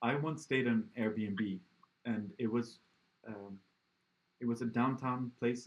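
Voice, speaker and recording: With a slight Swedish accent and ordinary pitch variation, the speaker goes at a fairly slow pace and leaves long, frequent pauses. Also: man. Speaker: podcast interviewer. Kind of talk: casual interview chat. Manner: halting with fillers.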